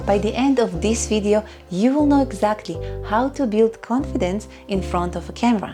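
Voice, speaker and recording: With music playing in the background, a woman talks at a moderate pace. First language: not English. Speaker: YouTube content creator. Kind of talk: casual talk to camera.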